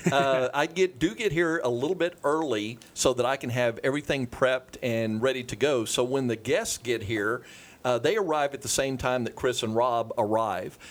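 With hardly any pauses, a man in a normal speaking voice talks at a moderate pace, medium in pitch with ordinary pitch variation. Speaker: real estate agent. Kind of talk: casual chat.

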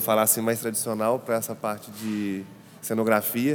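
A man at a fairly quick pace, music behind him. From Brazil, Ouro Preto, Minas Gerais. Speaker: architect and set designer. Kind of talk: interview about an exhibition space.

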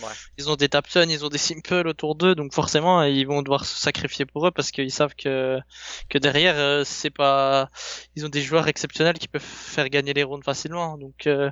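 A man talks at a moderate pace with a fairly high pitch. His intonation is monotone and flat. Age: 20s. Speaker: esports team leader. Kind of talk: podcast interview. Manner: halting, many fillers and repetitions.

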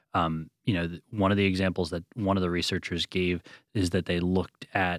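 This man talks at a fairly quick pace in a very deep, low voice with monotone, flat intonation, and the sound is dry and close with no echo. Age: 40s. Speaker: magazine editor and author. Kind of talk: interview.

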